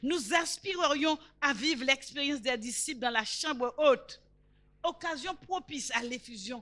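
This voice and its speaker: A woman speaks in a raised, projected voice with a bright, sharp tone and a high pitch. Her pace is fairly slow, and her pitch varies in an ordinary way. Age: 70s. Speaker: preacher. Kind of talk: sermon.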